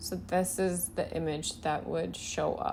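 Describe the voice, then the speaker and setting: Recorded very cleanly against a silent background, a woman with an unremarkable speaking voice talks at a fairly low pitch with lively intonation. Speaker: web design instructor. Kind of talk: tutorial.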